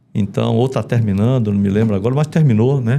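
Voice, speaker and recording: Dark, mellow male tone, its pitch varying in an ordinary way. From Brazil, Manaus (Amazonas). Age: 60s. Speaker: retired army colonel. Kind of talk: interview.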